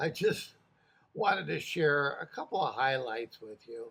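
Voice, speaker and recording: This man talks very slowly. His voice is fairly high in pitch. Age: 80s+. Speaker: retired correctional officer. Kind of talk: casual talk to camera. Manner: hesitant, many filler words.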